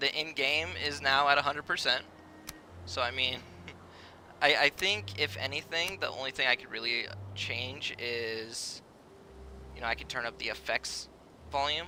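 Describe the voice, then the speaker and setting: Soft-spoken and medium in pitch, a man talks at a moderate pace with ordinary pitch variation and long, frequent pauses. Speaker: video game streamer. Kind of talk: live gameplay stream chat. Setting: live stream. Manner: hesitant, filler-heavy.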